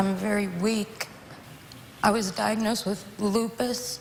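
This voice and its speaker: At a fairly slow pace, a woman speaks with a fairly high pitch amid noticeable background noise. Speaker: talk show guest. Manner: slurred speech, sounds sedated.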